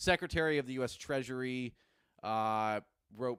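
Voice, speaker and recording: A man's voice at a medium pitch and moderate pace, with ordinary pitch variation, on a very clean recording with a silent background. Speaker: newspaper editor and show host. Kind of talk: casual solo commentary. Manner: halting, many false starts.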